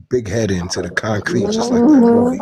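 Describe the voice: A man talks with a New York accent.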